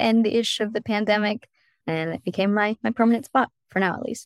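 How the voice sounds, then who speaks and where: In a dry, close sound with no echo and a silent background on a very clean recording, a woman talks at a fairly quick pace. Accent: Californian. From US, San Diego, California. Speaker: private chef. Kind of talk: casual interview chat.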